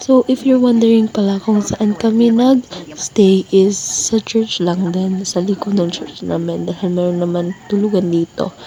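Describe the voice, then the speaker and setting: Amid noticeable background noise, a woman of medium pitch talks at a fairly slow pace with hardly any pauses and ordinary pitch variation. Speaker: vlogger. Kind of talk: vlog narration. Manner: casual, many fillers.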